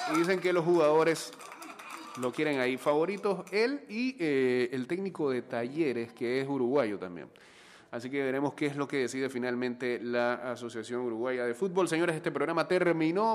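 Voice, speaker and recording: With a plain, everyday voice, a man speaks at a fairly high pitch and fairly quick pace with lively intonation. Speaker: radio host. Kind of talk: morning radio show with news and sports commentary. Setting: studio broadcast, also streamed live.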